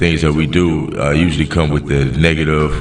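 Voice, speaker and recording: Music plays in the background with audible room echo. A man speaks at a very deep, low pitch. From US South, Montgomery, Alabama. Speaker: hip-hop artist. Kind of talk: podcast interview. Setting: studio. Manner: relaxed, with many fillers.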